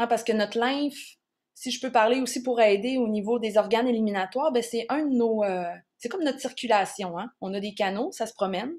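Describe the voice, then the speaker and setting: Recorded very cleanly against a silent background, a woman with a Quebec accent speaks at a moderate pace, her fairly high pitch showing ordinary variation. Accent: Québécois French. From Quebec, Charlevoix region. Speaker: naturotherapist presenting on herbal plants. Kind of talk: educational workshop talk. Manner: casual, with frequent hesitations.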